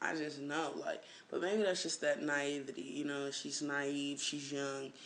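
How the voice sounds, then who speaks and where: A man talks at a moderate pace. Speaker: vlogger. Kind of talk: casual vlog monologue. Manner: casual, many fillers.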